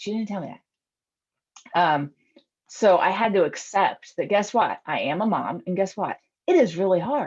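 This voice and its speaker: Moderate pace with ordinary pitch variation. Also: woman. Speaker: eating psychology coach and police officer. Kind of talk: online group presentation. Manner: casual, filler-heavy.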